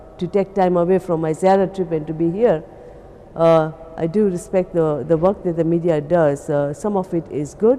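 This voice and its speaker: A woman talks at a moderate speed, her pitch varying in an ordinary way, while noticeable noise sits in the background. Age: 60s. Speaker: pilgrim. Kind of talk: testimony. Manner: halting.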